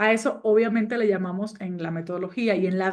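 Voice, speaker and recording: Fairly quick speech from a woman, the background quiet. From Cuba. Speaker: business coach and trainer. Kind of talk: online course lecture.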